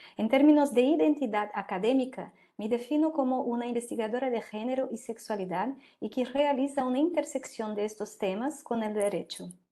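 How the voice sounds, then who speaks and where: Over a quiet background, a woman with a Portuguese accent speaks fairly quickly in a high pitch and a dark, mellow tone with ordinary pitch variation. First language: Portuguese (speaking Spanish). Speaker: law professor. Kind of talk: lecture. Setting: video call.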